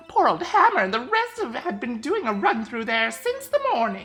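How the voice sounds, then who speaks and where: The female-sounding voice is a put-on character voice, with faint music in the background. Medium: game stream. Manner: chatty, rambling, calls people dearie.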